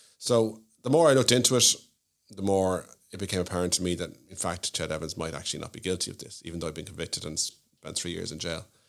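A man speaks with a Dublin accent at a very fast pace. His pitch is very deep and low. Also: ordinary pitch variation, big swings in loudness. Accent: Dublin Irish. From Ireland, Malahide (north County Dublin). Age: 40s. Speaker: solicitor. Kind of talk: casual interview chat. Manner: hesitant, many fillers and repeats.

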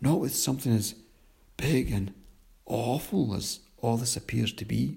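Natural-voiced reading aloud of a text.

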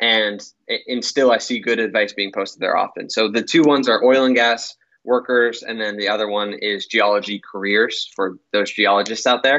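The speaker keeps fairly even intonation at a moderate pace, in a normal speaking voice with an American accent. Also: man. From Pittsburgh, Pennsylvania. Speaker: sales engineer, former offshore mudlogger. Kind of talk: interview.

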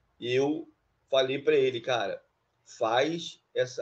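A man talks at a very slow pace. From Rio de Janeiro, Brazil (Duque de Caxias). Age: 50s. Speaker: database administrator. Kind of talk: interview. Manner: halting, many fillers.

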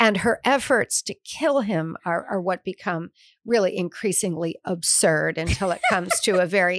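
A woman with a plain, everyday voice speaks at a moderate pace and medium pitch in an American accent. The recording is very clean, with a silent background and a dry, close sound with no echo. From US Midwest, suburban Detroit. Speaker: author and hotel owner. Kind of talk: interview.

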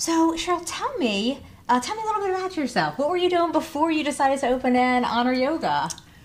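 Against noticeable background noise, a woman with an American accent talks very fast at a high pitch. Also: lively intonation. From New Jersey (Trenton). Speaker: podcast host. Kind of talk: casual interview. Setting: in person studio.

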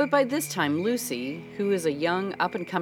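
Someone reads aloud in a natural voice.

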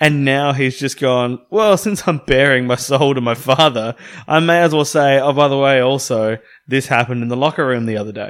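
A man speaks with an Australian accent at medium pitch. His pace is moderate and his pitch variation ordinary. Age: 20s. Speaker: podcast co-host. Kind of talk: casual chat.

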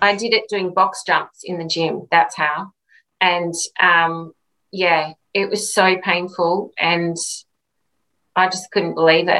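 A woman's bright, sharp voice with an Australian accent, fairly low in pitch, at a very slow pace with long, frequent pauses. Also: fairly even intonation. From Australia, Redcliffe, Queensland. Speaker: retired Olympic swimmer. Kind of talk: interview.

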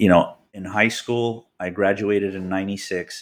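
Here is an ordinary speaking voice, a man's with an American accent and a fairly low pitch. He talks at a fairly slow pace in a very clean recording with a silent background. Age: 40s. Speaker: car collector and builder. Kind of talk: interview.

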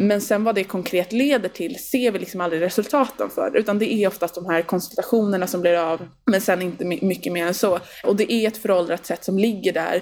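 A woman talks at a fairly quick pace with hardly any pauses, in a medium pitch with ordinary variation. Noticeable background noise is present. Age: 20s. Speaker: youth representative to the UN. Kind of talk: casual interview.

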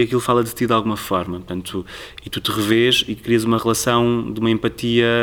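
Here a man talks at a fairly quick pace. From Portugal, Tomar area (Ribatejo). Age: young. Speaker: cultural programmer. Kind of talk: interview. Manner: halting.

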